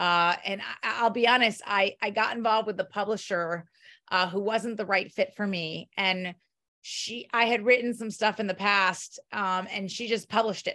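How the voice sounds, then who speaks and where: A woman speaks in a normal speaking voice at a medium pitch and a moderate pace. Her intonation is fairly even, and the background is quiet. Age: 40s. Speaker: children's book author. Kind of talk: interview.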